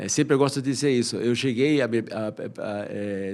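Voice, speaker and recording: A man's medium-pitched voice at a moderate pace. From Peru. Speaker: economist and professor. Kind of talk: podcast interview. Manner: halting, with repeated fillers.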